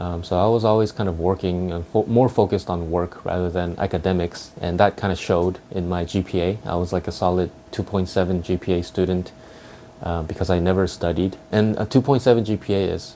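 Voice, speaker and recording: A man's very deep, low voice, fairly quick and fairly even in intonation, with noticeable background noise. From US, moved from South Korea at nine. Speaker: car YouTuber. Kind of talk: personal vlog, reflective monologue. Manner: casual, hesitant with fillers.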